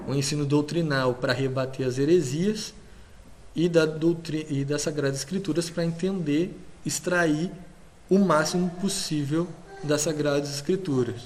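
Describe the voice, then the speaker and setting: Audible room echo accompanies a man with a fairly high pitch. He talks at a fairly slow pace with fairly even intonation. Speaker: lecturer. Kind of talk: lecture.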